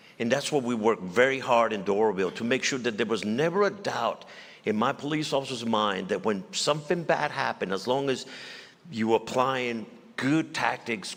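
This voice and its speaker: Lively intonation carries the speech along at a moderate pace. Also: man. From Mexico. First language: Spanish. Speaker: former police chief and general, state official. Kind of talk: on-stage interview. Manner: halting, repeats words.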